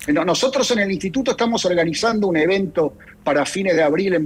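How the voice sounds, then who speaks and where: A man with an Argentine accent, lively intonation, and a moderate pace amid noticeable background noise. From Argentina. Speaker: think tank director. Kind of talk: radio interview. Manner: halting, many fillers and repetitions.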